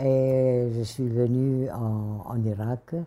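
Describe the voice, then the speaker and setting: With a dark, mellow tone and a very deep, low pitch, a woman speaks at a very slow pace with fairly even intonation. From Syria, Damascus. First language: Kurdish (speaking French). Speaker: interviewee. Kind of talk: interview. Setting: at her home.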